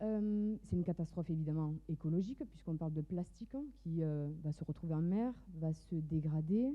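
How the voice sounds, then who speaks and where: A woman with a slight southern French accent speaks with ordinary pitch variation. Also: fairly low pitch for a woman, moderate pace. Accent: slight southern French Mediterranean. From southern France, Mediterranean coast. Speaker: entrepreneur, fashion designer. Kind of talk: startup pitch.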